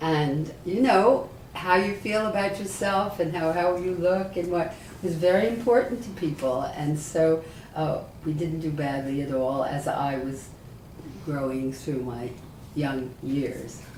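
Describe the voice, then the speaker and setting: With an American accent, a woman speaks fairly slowly in a very deep, low pitch, with audible room echo and noticeable background noise. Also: lively intonation. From New York City. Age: 80s+. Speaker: rabbi. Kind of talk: oral history interview.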